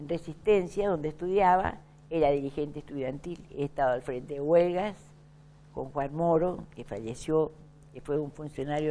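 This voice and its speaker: Her voice is very deep and low with a dark, mellow tone, ordinary pitch variation and a fairly slow pace. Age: 80s+. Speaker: veteran politician. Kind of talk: interview.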